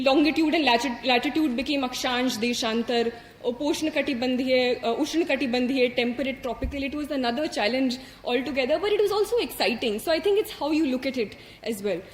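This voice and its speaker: With an Indian accent, a woman talks at a very fast pace and a high pitch, using ordinary pitch variation. Noticeable background noise is present. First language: Hindi. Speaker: civil service exam topper. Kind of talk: motivational speech. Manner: hesitant, many fillers.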